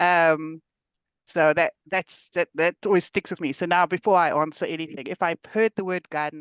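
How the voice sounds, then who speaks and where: A woman with a South African accent talks at a moderate pace, her pitch fairly low and her intonation fairly even. The sound is dry and close with no echo, over a quiet background. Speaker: podcast host. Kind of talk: podcast interview.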